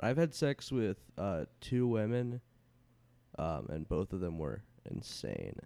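Speaking very slowly with long, frequent pauses, a man with an American accent uses a dark, mellow tone at a fairly low pitch and swings his pitch very widely. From Houston, Texas. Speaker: stand-up comedian. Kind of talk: casual chat. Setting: in a home.

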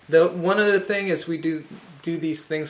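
A man talks with a normal speaking voice. His pace is moderate and his pitch varies in an ordinary way. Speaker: film show host. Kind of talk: interview.

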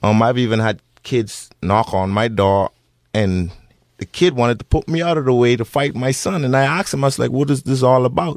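In a very clean recording with a silent background, a man with a Bahamian accent talks at a fairly quick pace with lively intonation, the sound dry and close with no echo. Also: medium pitch for a man. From Bahamas. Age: 30s. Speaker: bereaved father. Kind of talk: radio interview. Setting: radio studio.

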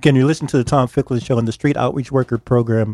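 Medium-pitched male voice, dry and close with no echo, on a very clean recording with a silent background. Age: 60s. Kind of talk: casual chat. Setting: studio. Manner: halting.

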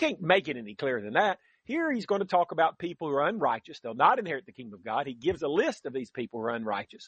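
A man talks very fast with hardly any pauses and big swings in loudness. His fairly high voice swings very widely in pitch. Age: 60s. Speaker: radio Bible teacher. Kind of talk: radio Bible teaching.

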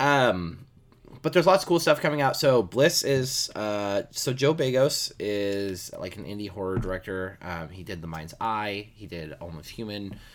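In a very clean recording with a silent background, a man with a fairly low voice talks at a moderate pace, his pitch swinging very widely and his loudness rising and falling sharply. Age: 30s. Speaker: horror podcast co-host. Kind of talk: casual chat.

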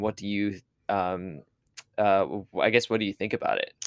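The recording is very clean, with a silent background. An ordinary speaking voice holds a moderate pace and fairly even intonation. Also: man. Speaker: podcast host. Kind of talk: casual interview.

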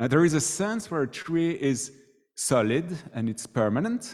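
A man talks with a French accent. The recording is very clean, with a silent background. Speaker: student ministry worker giving a sermon. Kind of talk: sermon. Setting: church.

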